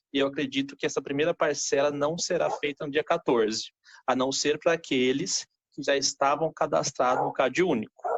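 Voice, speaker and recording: A man's fairly high pitch and fairly even intonation come through in an unremarkable speaking voice that moves at a moderate pace. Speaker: accountant. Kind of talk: tutorial. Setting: live stream.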